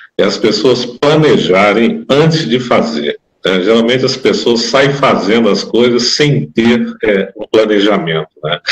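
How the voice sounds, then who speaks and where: An ordinary speaking voice with lively intonation at a fairly slow pace. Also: man, medium pitch for a man. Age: 60s. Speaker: condominium manager. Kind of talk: interview.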